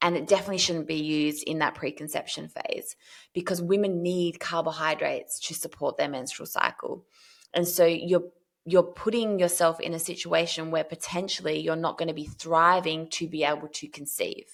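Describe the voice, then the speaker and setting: In an ordinary speaking voice, a woman talks at a moderate pace with fairly even intonation and a fairly low pitch. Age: 40s. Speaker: health practitioner and menstrual cycle educator. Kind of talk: podcast interview.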